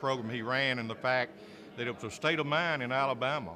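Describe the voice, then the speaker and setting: Someone with a Southern US accent speaks at a fairly quick pace. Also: man. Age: 60s. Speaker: sports play-by-play announcer. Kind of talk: press interview.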